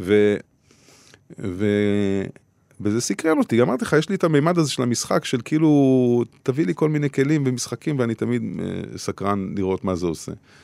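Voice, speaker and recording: A man's medium-pitched voice with a dark, mellow tone, lively intonation and a fairly quick pace, broken by long, frequent pauses, in a very clean recording with a silent background and a dry, close sound with no echo. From Israel, Beersheba. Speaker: musician and labor activist. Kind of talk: interview. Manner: halting.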